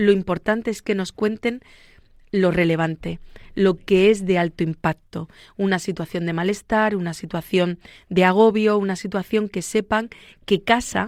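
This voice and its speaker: A woman speaks at a medium pitch and a fairly slow pace with fairly even intonation. The very clean recording has a silent background and a dry, close sound with no echo. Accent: Murcian. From Spain, Murcia. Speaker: psychologist. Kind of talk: radio interview. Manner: fluent, conversational.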